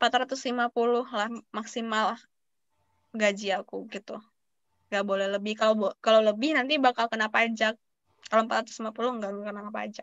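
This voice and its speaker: Against a quiet background, a woman speaks at a fairly high pitch and fairly slow pace in a monotone, flat intonation, with long, frequent pauses and a dry sound with no echo. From Padang, West Sumatra, Indonesia; West Sumatra, Indonesia. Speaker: university student; guest. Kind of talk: webinar talk and Q&A. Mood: friendly, relaxed. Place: home room. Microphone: video call.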